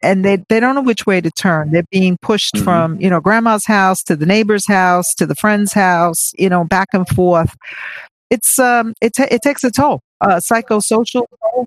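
A plain, everyday voice moves at a moderate pace with ordinary pitch variation, in a very clean recording with a silent background and a dry, close sound with no echo. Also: woman, medium pitch for a woman, very even loudness. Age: 60s. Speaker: charity co-founder. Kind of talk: interview.

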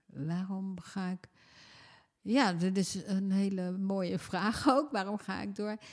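In a very clean recording with a silent background, a woman talks at a very slow pace at a medium pitch with ordinary pitch variation. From Netherlands. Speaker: former member of parliament. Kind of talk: casual chat. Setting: at home.

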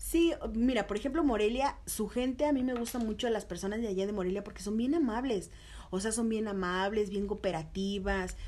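A fairly high-pitched woman with a Mexico City accent, at a fairly quick pace with ordinary pitch variation. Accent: Mexico City (chilango). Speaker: TV reporter. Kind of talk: casual interview.

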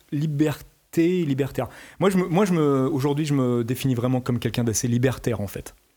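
A man talks at a fairly quick pace in a medium pitch, his tone dark and mellow and his pitch variation ordinary. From France. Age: 50s. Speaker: musician. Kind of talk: interview.

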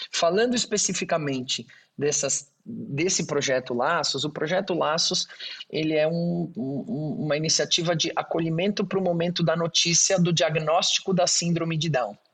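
The speech goes at a moderate pace. Its pitch variation is ordinary. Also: man, high pitch for a man. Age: 40s. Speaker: engineer and auctioneer, NGO founder. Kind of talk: interview. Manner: halting.

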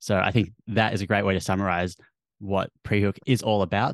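A man with an Australian accent speaks at a moderate pace in a fairly low pitch, with a dry, close sound, no echo and a quiet background. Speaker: podcast host. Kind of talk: interview chat.

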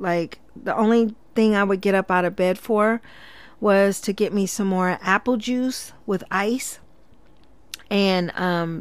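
A woman speaks in an ordinary speaking voice at a fairly slow pace with fairly even intonation, on a very clean recording with a silent background. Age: 40s. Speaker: podcast host and cosmetology instructor. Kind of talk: casual solo monologue. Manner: conversational with frequent filler words.

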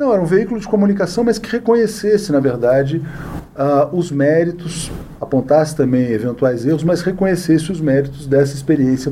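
Against noticeable background noise, a man with a fairly high pitch talks at a fairly quick pace with lively intonation. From Brazil, Brasília. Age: 40s. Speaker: journalist and news site founder. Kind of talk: interview. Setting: studio.

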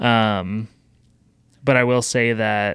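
An ordinary speaking voice from a man at medium pitch, with fairly even intonation, comes through a very clean recording with a silent background. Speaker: podcast producer. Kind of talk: casual conversation. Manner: casual, conversational.

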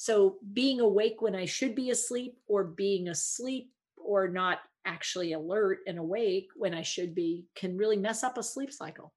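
With a plain, everyday voice, a woman talks at a moderate pace and a medium pitch. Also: ordinary pitch variation. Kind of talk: explanatory interview answers.

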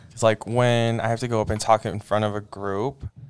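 A man with an American accent speaks in a fairly low, monotone voice with flat intonation. Noticeable background noise runs underneath. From Idaho, US West. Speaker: student panel member. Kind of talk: casual chat.

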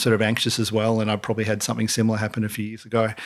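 In an Australian accent, a man speaks at a medium pitch, captured in a very clean recording with a silent background. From Australia, south coast of New South Wales. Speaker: entrepreneur and company founder. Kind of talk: casual interview.

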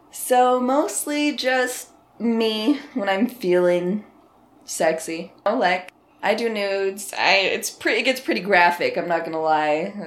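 At medium pitch, a woman speaks in an ordinary speaking voice at a fairly slow pace with lively intonation. The recording is very clean, with a silent background. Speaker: adult content creator. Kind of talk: casual interview.

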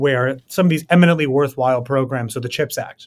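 Talking fairly quickly with an American accent, a man of fairly high pitch has an ordinary speaking voice and ordinary pitch variation. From US, New York City. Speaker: policy researcher and author. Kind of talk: interview.

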